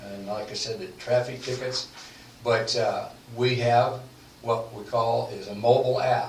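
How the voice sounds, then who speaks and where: A man speaks at a medium pitch with monotone, flat intonation. His pace is fairly slow, with noticeable background noise. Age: 80s+. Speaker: legal services sales representative. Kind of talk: radio podcast interview answer.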